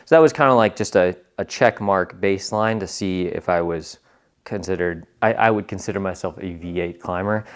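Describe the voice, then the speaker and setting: A man's very deep, low voice at a moderate pace, with ordinary pitch variation over a quiet background. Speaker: vlogger. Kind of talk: casual vlog chat. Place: gym. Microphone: lapel.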